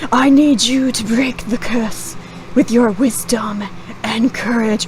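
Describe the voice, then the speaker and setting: A female-sounding voice in a put-on character voice speaks at a fairly high pitch and a fairly slow pace. Background noise is clear. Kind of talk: archaic, biblical speech. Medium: actual play. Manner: slow, solemn.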